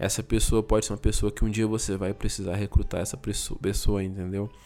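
Speaking at a fairly quick pace, a man delivers his words in a fairly low pitch with a dark, mellow tone and monotone, flat intonation. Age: 30s. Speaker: IT professional and content creator. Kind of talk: solo podcast monologue. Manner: halting.

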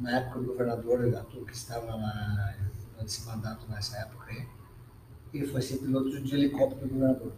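Amid noticeable background noise and audible room echo, a man talks fairly quickly at a medium pitch, monotone and flat, with long, frequent pauses. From southern Brazil, Rio Grande do Sul. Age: 50s. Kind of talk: casual interview.

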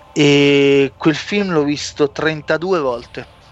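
This man has a fairly high pitch. His pitch variation is ordinary. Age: 30s. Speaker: podcast host. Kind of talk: casual chat.

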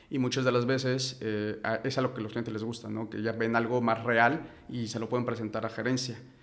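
Fairly quick, monotone, flat speech from a man at a medium pitch, over noticeable background noise. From Mexico City. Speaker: engineering company director. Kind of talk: interview. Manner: halting.

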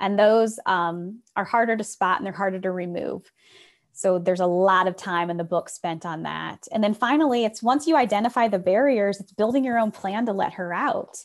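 A woman speaks at a moderate pace with an American accent, her pitch medium and its variation ordinary, in a plain, everyday voice. The recording is very clean, with a silent background. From US Midwest, rural Northwest Ohio. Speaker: speaker and business founder. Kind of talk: podcast interview conversation.

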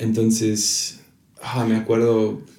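A man speaks amid noticeable background noise and audible room echo. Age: 20s. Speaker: pastor. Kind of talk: casual chat. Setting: home office.

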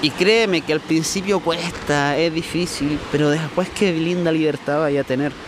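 Over noticeable background noise, a man with a fairly high pitch speaks at a fairly slow pace, his intonation fairly even, his loudness very even, and hardly any pauses. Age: 20s. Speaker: podcaster. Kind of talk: casual monologue. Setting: outdoors at the beach.

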